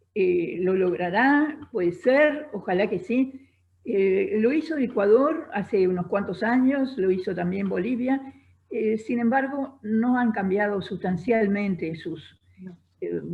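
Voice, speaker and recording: The woman speaking has a fairly high pitch and a somewhat breathy voice. She goes at a very slow pace with lively intonation. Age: 80s+. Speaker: feminist writer and radio host. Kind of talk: live interview answer.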